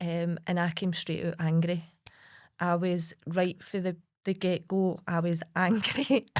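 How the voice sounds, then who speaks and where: Recorded very cleanly with a silent background, a woman with a Lanarkshire accent speaks at a fairly low pitch. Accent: Scottish (Lanarkshire). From Lanarkshire, Scotland. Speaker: suicide-bereaved partner and campaigner. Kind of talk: podcast interview answer.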